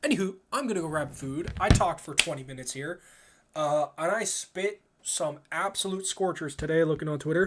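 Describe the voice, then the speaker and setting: This man talks at a fairly quick pace in a Canadian accent, his pitch high for a man. His tone is animated, with ordinary pitch variation. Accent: Canadian, stronger when talking fast. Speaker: video game streamer. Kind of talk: casual live stream chat.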